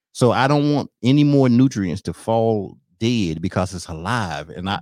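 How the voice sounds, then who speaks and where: Animated and full of lively intonation, a man with a Southern US accent speaks at a fairly low pitch. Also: hardly any pauses. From US South. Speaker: podcast host. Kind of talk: casual chat.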